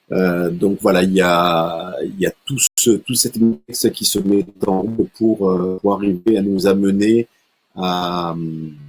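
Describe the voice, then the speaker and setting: A man's very deep, low voice at a very slow pace, fairly even in intonation, with a dry, close sound and no echo. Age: 60s. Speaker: martial arts instructor and sports coach. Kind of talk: online talk with slideshow. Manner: halting, many fillers and repetitions.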